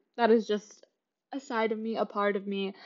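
Speaking in an American accent at a moderate pace, a woman of medium pitch has an unremarkable speaking voice. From Kansas City, Kansas (US Midwest). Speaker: podcast host, student. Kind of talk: casual solo monologue. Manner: chatty, laughing often.

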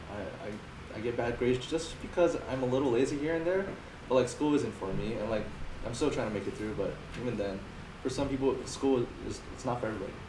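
Amid noticeable background noise, a man at a medium pitch talks very fast yet leaves long, frequent pauses, with ordinary pitch variation. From Hawaii, Maui. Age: 20s. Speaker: young fitness entrepreneur. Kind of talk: casual interview chat. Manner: halting, many fillers.

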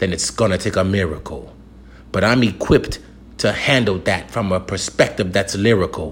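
Intense and somewhat breathy, a man in an American accent speaks at a moderate pace and fairly low pitch, with ordinary pitch variation. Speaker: spoken-word poet. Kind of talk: performed spoken-word poem, rhymed and rhythmic. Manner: intense, declarative, emphatic delivery with punchy rhyming cadence; preacher-like, urgent and confrontational, then calmer and reassuring.

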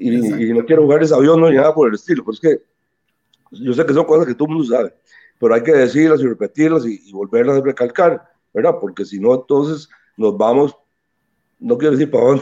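At a fairly quick pace but with long, frequent pauses, a man with a fairly high pitch and a dark, mellow tone speaks with ordinary pitch variation and big swings in loudness, the sound dry and close with no echo. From Costa Rica, Caribbean coast (Limón). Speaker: musician and band leader. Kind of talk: interview.

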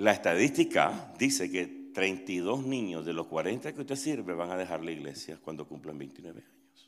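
The pace is fairly slow. Pitch swings very widely and loudness swings a lot. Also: man, very deep, low pitch for a man. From Nicaragua. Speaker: pastor. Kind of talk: interactive workshop talk. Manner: halting.

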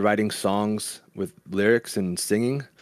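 A man with a normal speaking voice at medium pitch talks at a fairly slow pace, captured in a dry, close sound with no echo on a very clean recording with a silent background. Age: 30s. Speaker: musician. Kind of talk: casual chat. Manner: calm.

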